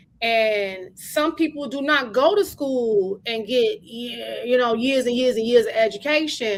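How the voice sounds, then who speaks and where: Animated and high-pitched, a woman speaks at a fairly slow pace with hardly any pauses and ordinary pitch variation. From Chicago, South Side. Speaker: podcast co-host with a doctorate. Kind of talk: casual chat.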